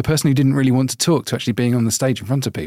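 With a British accent, a man speaks in a dark, mellow tone at medium pitch, the sound dry and close with no echo. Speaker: podcast host. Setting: video call.

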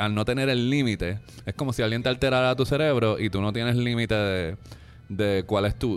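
Music plays in the background as a man talks at a moderate pace. His pitch is fairly low, and his intonation is fairly even. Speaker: film critic. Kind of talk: casual chat. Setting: restaurant.

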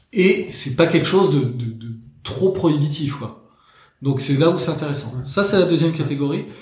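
The speech moves at a moderate pace with ordinary pitch variation and audible room echo. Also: man, fairly high pitch for a man. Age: 30s. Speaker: watch collector. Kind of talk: casual chat.

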